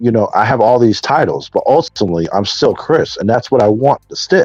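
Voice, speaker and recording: Fairly quick speech from a man comes across dry and close, with no echo. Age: 40s. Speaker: person in addiction recovery. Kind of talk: testimony. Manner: halting.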